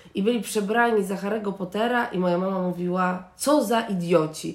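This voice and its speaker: A woman with a medium pitch is heard, and the room echo is audible. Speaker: podcast co-host. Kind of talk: casual chat. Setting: recording at home in an apartment.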